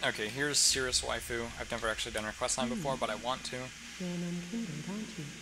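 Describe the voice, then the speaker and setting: A man's fairly high voice at a very fast pace, with very wide pitch swings and noticeable background noise. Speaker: gamer. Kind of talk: casual gameplay commentary. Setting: home recording with loud fan. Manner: casual, self-deprecating, profane.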